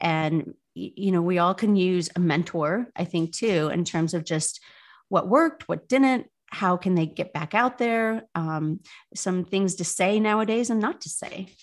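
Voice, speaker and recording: A woman with a Midwestern US accent speaks at a fairly slow pace and medium pitch. Her pitch varies in an ordinary way against a quiet background. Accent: US Midwest. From Indiana, South Bend. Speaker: dating app founder. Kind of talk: interview.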